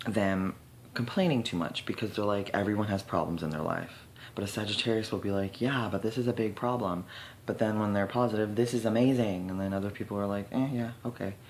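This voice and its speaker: A man with a fairly low voice, talking at a very fast pace. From Canada. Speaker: astrologer. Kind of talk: casual talk to camera.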